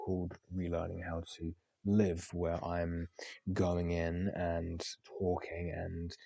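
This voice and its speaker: Very deep and low in pitch, a man speaks in a dark, mellow tone with monotone, flat intonation. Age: 20s. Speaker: podcaster. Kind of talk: casual monologue. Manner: halting, many fillers.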